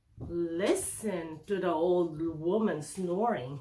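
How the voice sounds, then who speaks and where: Putting on a growling character voice, a woman speaks very slowly at a fairly low pitch with ordinary pitch variation. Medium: read story.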